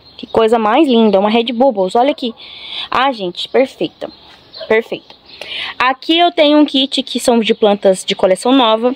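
A woman's high voice with ordinary pitch variation and long, frequent pauses, in a dry sound with no echo and light background noise. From Brazil. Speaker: plant seller and vlogger. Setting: home video recording, showing plants to camera. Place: garden. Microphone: phone near.

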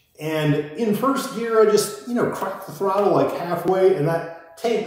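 A man with an American accent at a moderate pace, with strong room echo. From Iowa. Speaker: motorcycle vlogger. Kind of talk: casual monologue storytelling. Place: garage.

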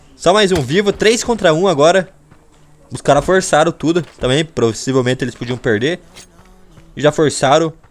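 An animated voice with lively intonation leaves long, frequent pauses while music plays in the background. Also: man, fairly high pitch for a man, moderate pace. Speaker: gaming YouTuber. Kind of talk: gameplay commentary.

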